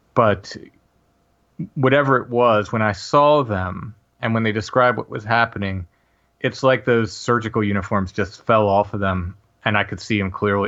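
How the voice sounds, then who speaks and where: Against a quiet background, a man with a plain, everyday voice speaks at a moderate pace and fairly low pitch, with fairly even intonation. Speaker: paranormal podcaster. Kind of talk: interview, personal testimony.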